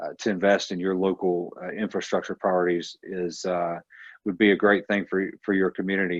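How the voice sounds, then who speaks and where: In a Georgia accent, a man speaks with a very deep, low pitch and monotone, flat intonation. The sound is dry and close with no echo, over a quiet background. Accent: US Southern (Georgia). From Northwest Georgia. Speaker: transportation advocate. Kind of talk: town hall Q&A.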